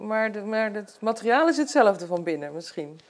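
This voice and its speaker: Very wide pitch swings across a woman's fairly high-pitched voice. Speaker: TV interviewer. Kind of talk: interview question. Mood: warm, reflective, curious. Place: home room. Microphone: lapel.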